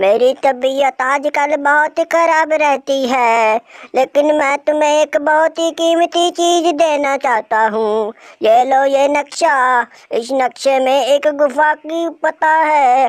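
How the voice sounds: A cartoonish character voice, high in pitch and very slow, on a very clean recording with a silent background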